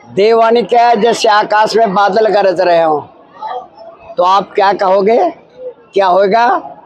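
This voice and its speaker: A man speaks with a high pitch and fairly even intonation. Crowd noise fills the background. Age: 80s+. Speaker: religious guru. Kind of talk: interview. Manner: halting.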